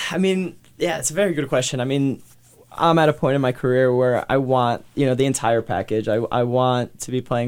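A man with an American accent speaks at a medium pitch in an unremarkable speaking voice. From New Jersey. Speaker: professional soccer player. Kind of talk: interview. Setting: radio studio.

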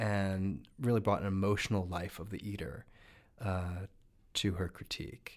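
Heard on a very clean recording with a silent background, the speaker has a normal speaking voice with an American accent. The pace is moderate, with ordinary pitch variation. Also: man, fairly low pitch for a man. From New Jersey, US. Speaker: food writer and TV cooking judge. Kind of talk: interview. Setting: studio.

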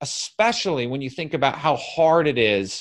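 A man's animated tone with vocal fry and lively intonation. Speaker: podcast host and business coach. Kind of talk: solo Q and A monologue. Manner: loud.

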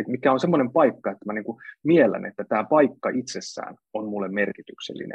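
At a fairly quick pace, a man speaks with lively intonation and a medium pitch, the sound dry and close with no echo. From Central Finland. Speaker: author and speaker. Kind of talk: casual interview conversation. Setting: video livestream. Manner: halting, many fillers.

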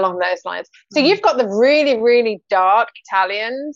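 A woman speaks with a British accent and ordinary pitch variation. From UK, North Sea coast. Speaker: podcast host and author. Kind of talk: casual chat.

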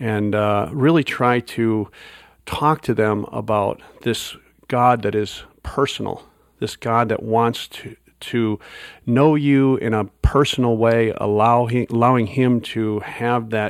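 With an Upper Midwest accent, a man speaks at a very slow pace and medium pitch with fairly even intonation, on a very clean recording with a silent background. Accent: Upper Midwest American. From US Midwest, Wisconsin. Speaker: pastor. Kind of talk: interview conversation. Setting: conference recording.

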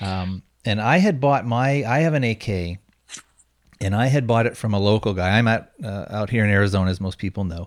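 Recorded very cleanly against a silent background, a man speaks at a fairly quick pace in an unremarkable speaking voice with a fairly low pitch and ordinary pitch variation. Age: 40s. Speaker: podcast host. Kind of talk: casual chat.

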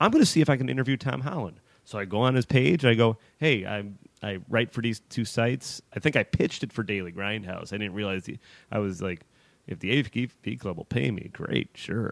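An ordinary speaking voice with lively intonation moves at a fairly quick pace. The recording is very clean with a silent background, and the sound is dry and close with no echo. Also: man, medium pitch for a man. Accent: American. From Chicago, US Midwest. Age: 30s. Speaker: horror film writer. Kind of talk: casual chat.

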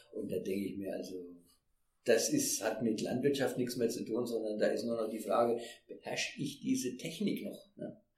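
A man delivers his words at a moderate pace, and the room adds audible echo. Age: 60s. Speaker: retired fair trade manager. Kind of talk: interview. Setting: in person. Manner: halting.

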